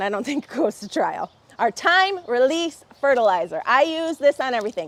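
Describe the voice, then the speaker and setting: A woman's high-pitched voice has an animated tone with very wide pitch swings. The sound is dry and close, with no echo. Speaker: garden show host. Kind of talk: live stream product show. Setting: outdoors under a pavilion in the rain. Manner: fast.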